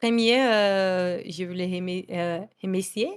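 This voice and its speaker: With a Brazilian accent, a woman speaks at a medium pitch with fairly even intonation. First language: Portuguese (speaking French). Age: 20s. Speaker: esports journalist. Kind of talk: interview. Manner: halting.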